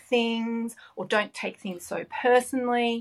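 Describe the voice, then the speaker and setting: This speaker is a woman with an Australian accent. She talks fairly slowly. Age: 50s. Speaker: business owner. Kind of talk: interview.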